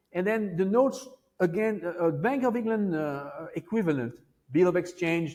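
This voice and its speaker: With a French accent, a man's high-pitched voice has a dark, mellow tone and lively intonation. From France. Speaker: Wall Street veteran, monetary historian. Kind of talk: interview answer.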